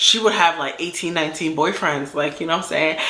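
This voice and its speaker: A woman with an American accent speaks in a very deep, low pitch, with audible room echo and noticeable background noise. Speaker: storytime YouTuber. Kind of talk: casual storytelling. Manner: animated.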